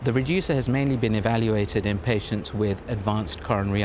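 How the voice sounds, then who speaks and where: Through noticeable background noise, a man with a fairly low pitch talks very fast with ordinary pitch variation. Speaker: cardiovascular consultant. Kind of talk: interview answer.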